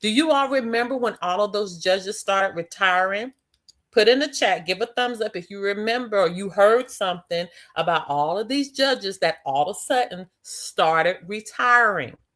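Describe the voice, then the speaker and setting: At a moderate pace, a woman with an American accent speaks in a plain, everyday voice with lively intonation. The recording is very clean, with a silent background. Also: medium pitch for a woman. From Philadelphia, US Northeast. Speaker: live stream host and school founder. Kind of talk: live stream talk. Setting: live stream.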